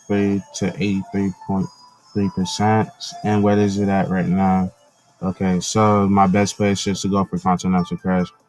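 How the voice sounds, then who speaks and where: Over music in the background, a quiet man with a fairly low pitch talks in a dry, close sound with no echo, his loudness very even and his intonation fairly even. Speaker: gaming commentator. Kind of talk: live gameplay commentary.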